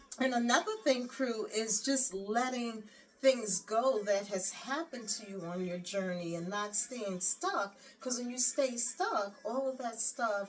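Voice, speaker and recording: A woman's fairly high-pitched, fairly slow speech with ordinary pitch variation and noticeable background noise. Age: 60s. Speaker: lifestyle vlogger. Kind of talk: casual chat. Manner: animated.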